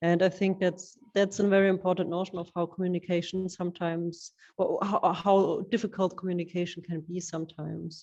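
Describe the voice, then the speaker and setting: In a monotone, flat intonation, a woman speaks at a medium pitch and a fairly quick pace with hardly any pauses. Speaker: curator. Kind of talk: artist interview. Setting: exhibition space.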